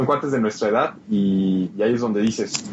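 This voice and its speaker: Over noticeable background noise, a man with a Mexican accent talks in a fairly low pitch. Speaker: video game podcast co-host. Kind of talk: casual chat.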